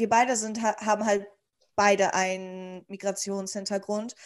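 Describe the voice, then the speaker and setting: A woman speaks at a moderate pace. She has an unremarkable speaking voice. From Germany. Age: 20s. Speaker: guest, student-age friend. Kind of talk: casual chat.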